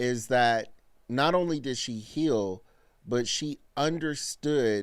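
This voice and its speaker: In a very clean recording with a silent background, a man speaks very slowly at medium pitch with ordinary pitch variation. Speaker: live-stream reaction host. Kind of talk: casual live-stream commentary.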